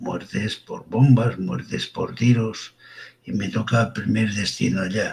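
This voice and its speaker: Lively intonation marks a man's speech, delivered at a very slow pace. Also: fairly low pitch for a man. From Catalonia, Girona province. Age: 70s. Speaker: forensic doctor. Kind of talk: interview. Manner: informal.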